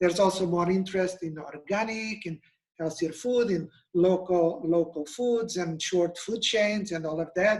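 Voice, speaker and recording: A man speaks with a Portuguese accent at a high pitch. His pace is moderate and his pitch variation ordinary. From Portugal. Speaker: nutrition expert. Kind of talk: webinar presentation.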